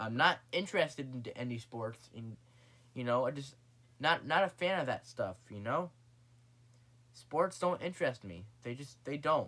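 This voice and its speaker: A man mumbling at a moderate pace and medium pitch, with lively intonation. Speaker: vlogger. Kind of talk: casual vlog monologue. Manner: halting.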